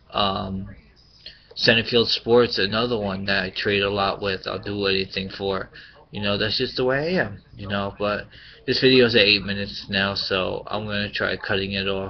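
There is light background noise as a man with a fairly low pitch speaks with ordinary pitch variation. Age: 30s. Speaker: sports card collector vlogger. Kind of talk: vlog rant. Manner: rambling. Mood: frustrated, venting. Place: home room. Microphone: webcam.

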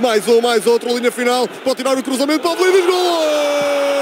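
Noticeable background noise runs under a man speaking with ordinary pitch variation. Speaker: radio commentator. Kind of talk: live football commentary, radio play-by-play. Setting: radio broadcast. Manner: breathless, rapid-fire, building to a shouted goal call; animated, excitable.

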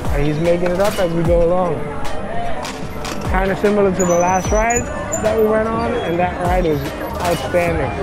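Over clear background music, a man speaks with ordinary pitch variation and long, frequent pauses in a dry sound with no echo. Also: moderate pace. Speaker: e-bike vlogger. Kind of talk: casual ride commentary. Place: motorbike.

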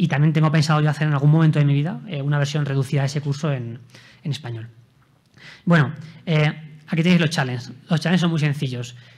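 Fairly high-pitched and somewhat breathy, a man talks very fast yet with long, frequent pauses and fairly even intonation. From Spain. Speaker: software developer; conference speaker. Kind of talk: conference talk with live coding demo. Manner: hesitant, many fillers. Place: hall.

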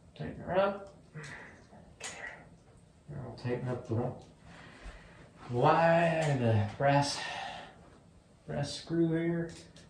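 Audible room echo and light background noise accompany the voice. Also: man, long, frequent pauses, big swings in loudness. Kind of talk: tutorial. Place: garage. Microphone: camera far.

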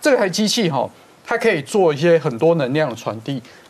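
Lively intonation from a man at a fairly quick pace. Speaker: rehabilitation physician. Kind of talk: TV health talk show explanation. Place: studio. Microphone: lapel.

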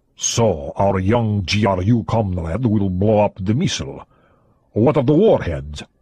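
A man uses a put-on character voice at a fairly low pitch, with lively intonation. He goes at a fairly slow pace over a quiet background. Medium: read story. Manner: blunt, curt.

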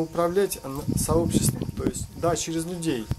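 A man talks at a moderate pace against loud background noise. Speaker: video blogger. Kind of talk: opinion monologue. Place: open country. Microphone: phone near.

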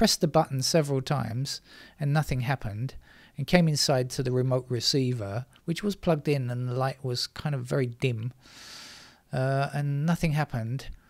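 A moderate pace against a quiet background. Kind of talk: casual commentary. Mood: amused, chatty. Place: home room.

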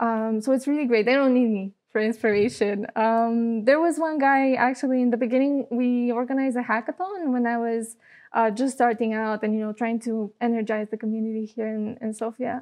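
A woman with a Bulgarian accent speaks at a moderate pace in a fairly high pitch, with hardly any pauses. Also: fairly even intonation, quiet background. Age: 20s. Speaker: social entrepreneur; guest. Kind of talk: interview. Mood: warm, smiling, relaxed. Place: studio. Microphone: lapel.

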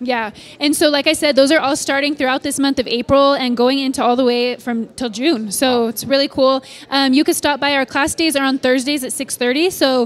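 A woman's high-pitched voice with fairly even intonation at a fairly quick pace. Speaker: church staff announcer. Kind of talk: church announcements chat. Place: church.

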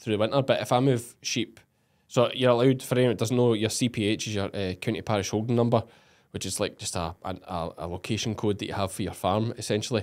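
Against a quiet background, a man with a Scottish accent talks at a very fast pace in a medium pitch. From Scotland. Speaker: podcast host and sheep farmer. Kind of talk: casual interview. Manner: animated. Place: studio. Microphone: studio mic.

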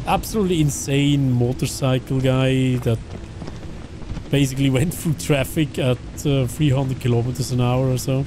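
A Swiss accent at a moderate pace, with ordinary pitch variation, very even loudness, a dry sound with no echo, and noticeable background noise. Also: man. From German-speaking Switzerland. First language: Swiss German. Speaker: video game streamer. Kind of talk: live gaming stream chat. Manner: animated.

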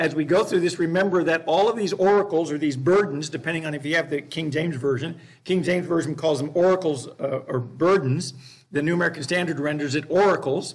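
At a very fast pace, the speaker's pitch varies in an ordinary way. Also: man. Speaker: Bible class teacher. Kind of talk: lecture. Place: classroom.

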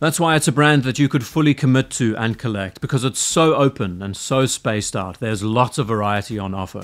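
With a quiet background behind him, a man speaks at a moderate pace and with ordinary pitch variation. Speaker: watch reviewer. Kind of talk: commentary. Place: home room. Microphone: studio mic.

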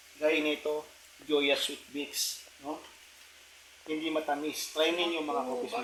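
A man's fairly high, fairly even voice at a very slow pace, with long, frequent pauses and noticeable background noise. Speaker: motovlogger. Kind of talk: casual vlog talk.

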